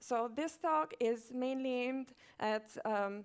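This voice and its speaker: A woman with a non-native accent speaks at a high pitch with lively intonation. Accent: foreign. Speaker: conference speaker, software company manager. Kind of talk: conference talk. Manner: hesitant, many fillers.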